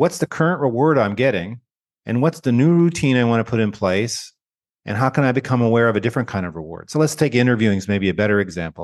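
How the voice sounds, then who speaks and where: A man with a Canadian accent and an ordinary speaking voice talks at a medium pitch and a fairly quick pace. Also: quiet background. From Canada. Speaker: education researcher and author. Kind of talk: interview conversation.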